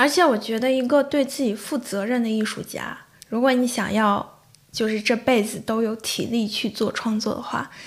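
The recording is very clean, with a silent background. Delivery is at a moderate pace with fairly even intonation. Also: woman, fairly high pitch for a woman. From Shanxi, China. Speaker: bartender and fan-fiction writer. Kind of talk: casual interview chat.

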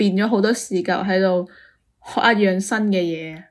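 A woman with a plain, everyday voice speaks at a medium pitch and moderate pace, her intonation fairly even, in a very clean recording with a silent background. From Guangdong, China. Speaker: podcast co-host. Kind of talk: casual chat.

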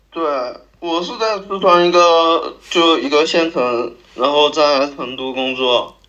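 A high-pitched man's voice with ordinary pitch variation at a very slow pace. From Sichuan county town, China. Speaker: podcast guest sharing a story. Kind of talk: casual storytelling chat. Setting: remote call.

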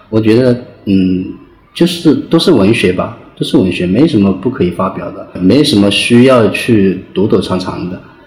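A man at medium pitch with lively intonation and a moderate pace, plus audible room echo and noticeable background noise. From China, Hunan (rural). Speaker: novelist. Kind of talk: interview. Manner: halting.

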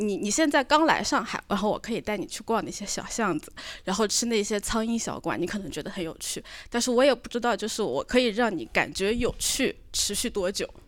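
A woman with a plain, everyday voice talks at a fairly quick pace and fairly high pitch, her intonation lively, in a very clean recording with a silent background. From northern Jiangsu. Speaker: audience member at live recording. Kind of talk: casual live-show chat.

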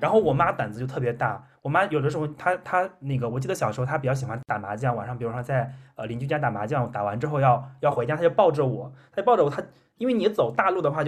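A man talks at a very fast pace. His voice is fairly high and somewhat breathy. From Henan, China (rural village). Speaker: podcast host. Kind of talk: casual chat.

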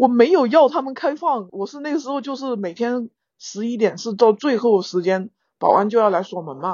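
Using an ordinary speaking voice, a woman with a fairly high pitch speaks at a moderate pace with lively intonation and big swings in loudness. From Guizhou, China. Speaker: animator and non-consumerist traveller. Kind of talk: casual chat.

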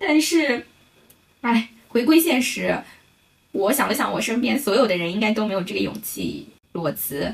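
A woman's fairly high voice with very wide pitch swings and long, frequent pauses. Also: moderate pace. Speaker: podcast co-host; bank teller. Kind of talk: casual chat.

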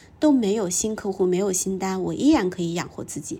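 A woman talks in an unremarkable speaking voice at medium pitch. Her intonation is lively. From northern China, small town. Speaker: podcast host and executive coach. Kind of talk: personal storytelling monologue.

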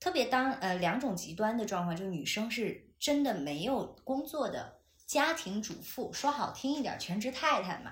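Amid audible room echo, a woman speaks at a moderate pace, her fairly high pitch making very wide swings. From China, Chengdu. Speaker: podcast co-host, broadcasting graduate. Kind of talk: casual chat. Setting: at home, in person. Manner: animated.

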